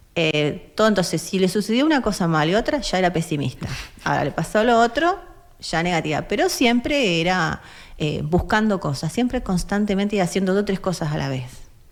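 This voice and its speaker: The pitch swings very widely in an Argentine accent. The pace is fairly quick. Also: woman, medium pitch for a woman. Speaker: activist, foundation president. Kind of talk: interview. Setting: studio.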